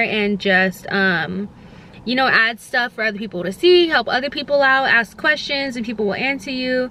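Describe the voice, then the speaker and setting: A woman talks with lively intonation at a high pitch, noticeable background noise behind her. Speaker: lifestyle vlogger. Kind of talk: casual vlog talk to camera. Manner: fast; many filler ums.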